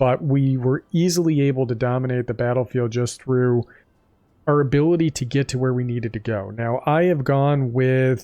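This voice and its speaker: A man speaks in a calm tone at a medium pitch and a moderate pace. His voice is dark and mellow, with fairly even intonation. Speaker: gaming youtuber. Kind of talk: gameplay commentary. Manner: casual.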